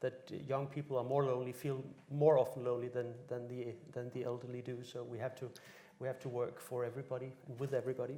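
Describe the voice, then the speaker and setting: Very fast and somewhat breathy, a man speaks at a medium pitch in a dark, mellow tone with monotone, flat intonation. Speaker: charity consultant. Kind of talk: panel discussion.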